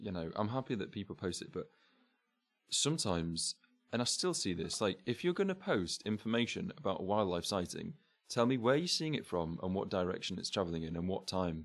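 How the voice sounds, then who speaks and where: A man with an English accent, fairly low pitch and lively intonation, on a very clean recording with a silent background. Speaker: friend of the host. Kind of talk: casual chat.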